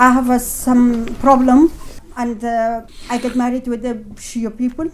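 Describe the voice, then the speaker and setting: Amid noticeable background noise, a woman with a high pitch speaks at a fairly slow pace in a monotone, flat intonation. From Afghanistan. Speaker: refugee, former teacher trainer. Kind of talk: testimony. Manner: halting.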